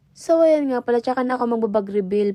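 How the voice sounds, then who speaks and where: This woman's voice has a dark, mellow tone. Her pitch varies in an ordinary way. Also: dry, close sound with no echo. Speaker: vlogger, care worker. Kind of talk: vlog voice-over narration. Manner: varying tone across recording; casual, chatty.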